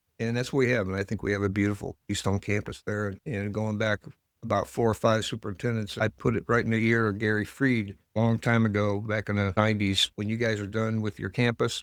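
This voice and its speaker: A man with a Midwestern American accent speaks at a fairly quick pace in a fairly low pitch, his intonation monotone and flat. The recording is very clean and silent behind him, with a dry, close sound and no echo. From US Midwest, northern Ohio (Lorain County). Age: 70s. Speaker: village mayor, retired teacher. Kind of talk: interview. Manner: conversational.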